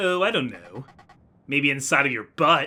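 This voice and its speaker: Using a raspy put-on character voice, a man speaks at a moderate pace, fairly high in pitch with lively intonation. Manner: serious, rude.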